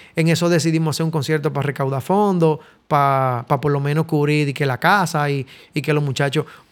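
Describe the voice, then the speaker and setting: A man speaks with a Dominican accent at a fairly high pitch. His intonation stays fairly even. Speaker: musician and studio owner. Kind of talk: casual interview.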